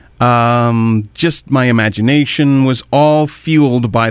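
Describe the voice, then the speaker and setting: Here is a man with a plain, everyday voice and a Canadian accent. He talks at a fairly slow pace. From Ontario, Canada. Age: 50s. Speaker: radio host. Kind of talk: radio show commentary.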